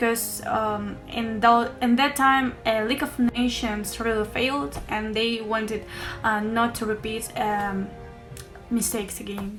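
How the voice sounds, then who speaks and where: Over music in the background, a woman with a non-native accent talks at a fairly slow pace, with fairly high pitch and fairly even intonation. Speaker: university student. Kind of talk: class video presentation. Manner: hesitant, many fillers.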